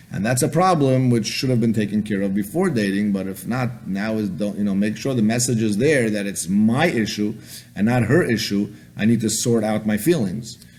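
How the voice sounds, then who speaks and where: Here a man talks at a fairly low pitch. There is audible room echo in the recording. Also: ordinary pitch variation. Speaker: rabbi, lecturer on dating. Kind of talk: lecture. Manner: fast.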